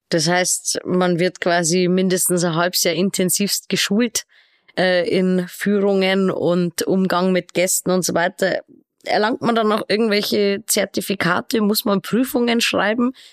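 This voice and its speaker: Recorded dry and close with no echo, a woman with an unremarkable speaking voice talks at a fairly slow pace and medium pitch, her intonation fairly even and her loudness very even. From Regensburg, Bavaria. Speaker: podcast host. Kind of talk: interview.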